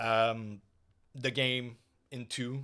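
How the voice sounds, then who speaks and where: On a very clean recording with a silent background, a man with a non-native accent speaks at a medium pitch. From Quebec. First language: French. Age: 30s. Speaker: gaming streamer and podcast host. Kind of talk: casual solo podcast monologue. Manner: hesitant, many fillers.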